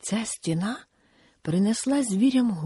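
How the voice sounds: Lively intonation marks a natural reading voice.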